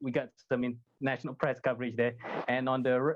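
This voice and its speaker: Very fast and animated, a man delivers his lines. His pitch sits in the medium range. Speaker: sim racing driver. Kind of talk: interview answer. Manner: fast-talking, animated.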